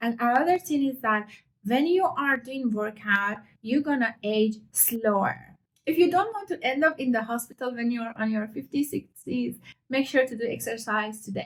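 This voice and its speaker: Speaking with a non-native accent, the voice holds a moderate pace and lively intonation. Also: woman, fairly high pitch for a woman. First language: not English. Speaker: fitness youtuber. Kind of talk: casual heart-to-heart vlog talk. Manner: unscripted, conversational.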